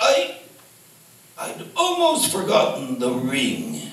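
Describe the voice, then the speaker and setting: A man does a put-on character voice at a very slow pace, with a slight echo. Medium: stage play. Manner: cold, self-assured.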